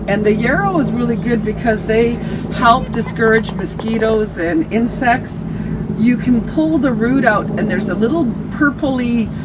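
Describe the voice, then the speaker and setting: The speaker talks at a moderate pace. Background noise is noticeable. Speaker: nature interpreter. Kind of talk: educational talk.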